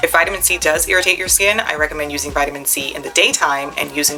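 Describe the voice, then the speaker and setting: A woman's very deep, low voice with fairly even intonation, against noticeable background noise. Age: 40s. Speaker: beauty vlogger. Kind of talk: tutorial. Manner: casual, conversational.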